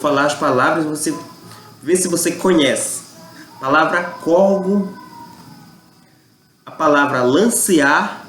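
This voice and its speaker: A man at a fairly high pitch and a very slow pace, with long, frequent pauses, ordinary pitch variation and music in the background. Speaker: YouTube channel host on Amazonian culture. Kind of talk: casual talk to camera.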